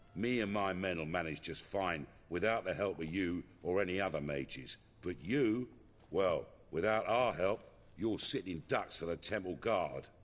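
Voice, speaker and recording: In a put-on, gruff character voice with a very deep, low pitch, a man speaks at a moderate pace against a quiet background. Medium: video game. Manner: gruff, blunt, working-class speech.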